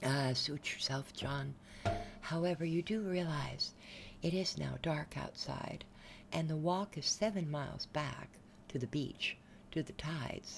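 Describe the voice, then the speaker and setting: Over music in the background, a soft-spoken voice moves at a fairly slow pace. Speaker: storyteller. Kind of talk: soft-spoken story reading.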